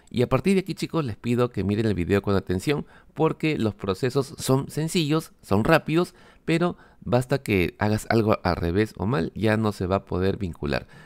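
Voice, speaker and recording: A man at a medium pitch talks at a moderate pace with very wide pitch swings, recorded very cleanly against a silent background with a dry, close sound and no echo. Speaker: tech youtuber. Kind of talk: tutorial.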